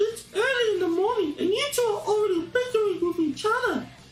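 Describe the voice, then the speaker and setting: A put-on character voice, female-sounding and squeaky, at an extremely high pitch and fairly quick pace, with clear background noise. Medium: read story.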